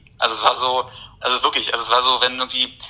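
A man talks at a very fast pace. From Berlin, Germany. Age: 20s. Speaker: poet. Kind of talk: casual interview chat.

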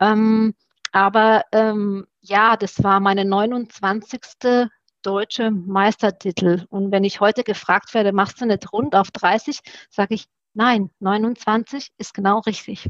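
A woman at medium pitch talks at a very slow pace with long, frequent pauses and fairly even intonation, in a dry, close sound with no echo. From Romania (Satu Mare), moved to Germany at 12. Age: 40s. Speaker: former Olympic fencer. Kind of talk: podcast interview.

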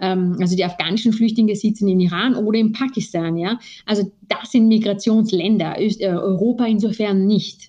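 With a dark, mellow, somewhat breathy tone, a woman talks at medium pitch and a moderate pace. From Austria. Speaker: lawyer. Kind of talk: interview. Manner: hesitant, many fillers.

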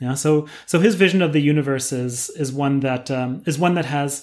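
A normal speaking voice from a man with an American accent, fairly high in pitch, at a moderate pace, on a very clean recording with a silent background. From US West Coast, San Diego, California. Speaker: professor. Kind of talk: interview.

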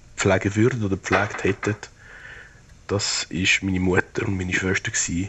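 Somewhat breathy and monotone, a man with a fairly low pitch speaks at a moderate pace in a flat intonation. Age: 70s. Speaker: retired public health official. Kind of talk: personal audio diary.

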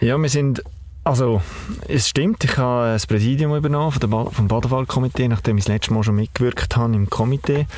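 With a normal speaking voice, a man talks at a fairly quick pace, his pitch varying in an ordinary way and his loudness very even. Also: medium pitch for a man. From Baden, Aargau, Switzerland. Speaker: family business owner. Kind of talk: interview.

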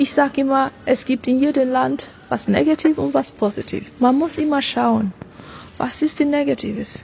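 A woman with a non-native accent, high pitch and a fairly slow pace, over noticeable background noise. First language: not German (speaking German). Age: 30s. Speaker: business coach and author. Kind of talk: interview. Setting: at an event.

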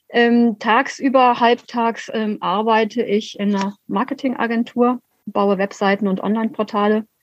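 Music plays in the background. A woman talks slowly in a fairly high, monotone, flat voice. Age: 50s. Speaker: city councillor and local party chair. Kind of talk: interview. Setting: video call.

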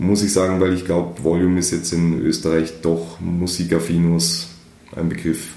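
With audible room echo, a man speaks in a very deep, low voice at a moderate pace, his intonation monotone and flat and his loudness very even. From outside Austria, German-speaking. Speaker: music magazine editor-in-chief, festival marketer. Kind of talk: interview.

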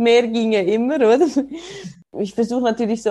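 A woman with a Swiss accent, dark and mellow in tone, at a moderate pace with fairly even intonation. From Switzerland, ski resort region. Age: 30s. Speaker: snowboarder and mother. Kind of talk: casual interview.

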